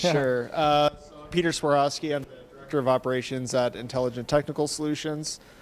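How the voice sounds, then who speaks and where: Here a man talks at a fairly quick pace with a fairly high pitch. His intonation is monotone and flat. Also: big swings in loudness. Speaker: IT company operations director. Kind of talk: self-introduction. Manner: quiet.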